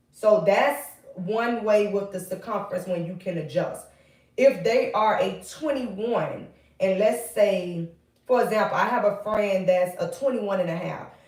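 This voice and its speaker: A woman at medium pitch, speaking at a fairly slow pace, with audible room echo. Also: ordinary pitch variation. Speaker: wig maker and hair tutorial creator. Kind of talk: tutorial. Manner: casual, chatty.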